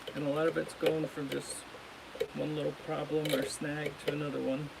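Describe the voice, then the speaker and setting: A soft-spoken voice at a moderate pace, with noticeable background noise. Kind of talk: live-stream tutorial.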